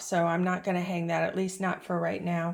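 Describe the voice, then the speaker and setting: A woman speaks at a moderate pace. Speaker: antique dealer and vlogger. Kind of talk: casual show-and-tell vlog. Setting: inside antique shop booth.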